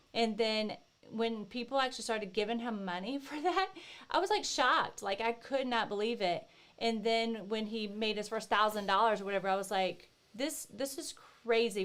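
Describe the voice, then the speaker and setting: Her voice is fairly high in pitch. This woman speaks in a Southern US accent. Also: lively intonation, moderate pace. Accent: Southern US, country. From US South, Northeast Florida. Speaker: co-host, author's wife. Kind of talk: casual chat.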